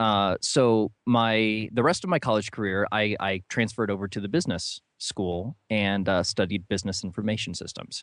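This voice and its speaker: Someone with a Midwestern American accent speaks at a fairly quick pace in a dry, close sound with no echo and a quiet background. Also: man. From US Midwest, northern Ohio. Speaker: author. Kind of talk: interview.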